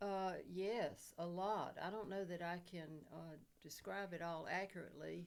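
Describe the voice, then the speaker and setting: A woman's fairly low voice in an Alabama accent, fairly slow and monotone with flat intonation, with audible room echo. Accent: Southern US (Alabama). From US South, Dothan, Alabama. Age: 80s+. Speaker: war widow. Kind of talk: oral history interview. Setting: podcast studio.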